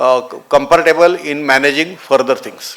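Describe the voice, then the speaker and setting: A man with a fairly high pitch speaks over noticeable background noise. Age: 70s. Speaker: doctor and conference speaker. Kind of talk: conference talk.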